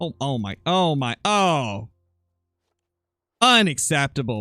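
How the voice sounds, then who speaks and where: Loud and dry, with a close sound and no echo, a man's voice swings very widely in pitch over music in the background. He talks at a very slow pace with long, frequent pauses. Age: 20s. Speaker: gaming streamer. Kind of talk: live gameplay commentary.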